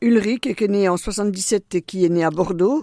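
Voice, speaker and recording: A plain, everyday voice from a woman at medium pitch with ordinary pitch variation, dry and close with no echo, on a very clean recording with a silent background. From eastern France, Doubs (Franche-Comté). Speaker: deacon's wife. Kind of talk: radio interview.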